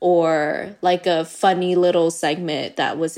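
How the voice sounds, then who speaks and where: A woman speaks against a quiet background. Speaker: chef and content creator. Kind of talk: podcast interview.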